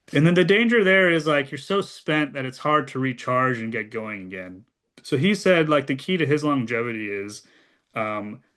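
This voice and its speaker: Against a quiet background, a man with a General American accent speaks with lively intonation. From US Midwest (Ohio). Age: 40s. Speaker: former government speechwriter and policy advisor. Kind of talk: casual conversation with audience advice. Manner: halting, many fillers.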